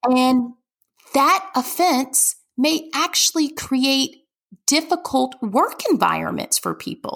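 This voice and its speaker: High-pitched female speech with a Southern US accent, very slow, with ordinary pitch variation. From US South, Birmingham, Alabama. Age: 40s. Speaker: nonprofit development executive. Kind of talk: interview.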